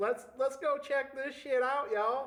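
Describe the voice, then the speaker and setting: Putting on a character voice, a man drawls at a moderate pace with an extremely high pitch. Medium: actual play. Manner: drawling, folksy, peppered with "man" and "y'all".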